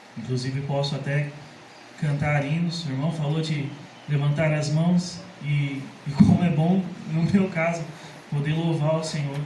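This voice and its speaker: A loud man speaks at a fairly slow pace with long, frequent pauses, in a fairly high pitch and a monotone, flat intonation. Audible room echo and noticeable background noise fill the recording. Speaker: church member giving testimony. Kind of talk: testimony. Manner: cannot speak loud for long.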